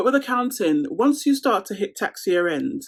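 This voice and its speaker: A woman with a London accent at a fairly quick pace, on a very clean recording with a silent background. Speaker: lifestyle vlogger. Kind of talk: casual Q&A chat to camera.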